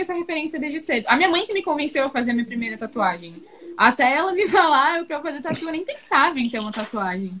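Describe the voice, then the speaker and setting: A woman with a high pitch raises and projects her voice, talking at a very fast pace with very wide pitch swings over noticeable background noise. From Florianópolis, southern Brazil. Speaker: tattoo artist. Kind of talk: interview.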